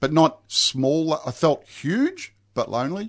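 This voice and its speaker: This man speaks with an Australian accent. His pitch variation is ordinary. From Melbourne, Australia. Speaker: recovering alcoholic. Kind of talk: testimony. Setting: studio. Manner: halting.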